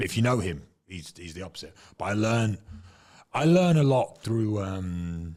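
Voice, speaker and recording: At a moderate pace, a man with an English accent speaks at a fairly low pitch with lively intonation, big swings in loudness and long, frequent pauses, on a very clean recording with a silent background. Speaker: former UFC fighter. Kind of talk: casual chat.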